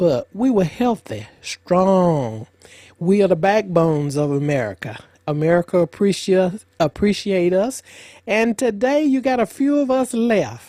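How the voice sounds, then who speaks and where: A woman's dark, mellow voice at medium pitch moves through very wide pitch swings at a fairly slow pace and very even loudness, on a very clean recording with a silent background. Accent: Alabama. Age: 70s. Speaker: retired cotton farm elder. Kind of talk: interview storytelling.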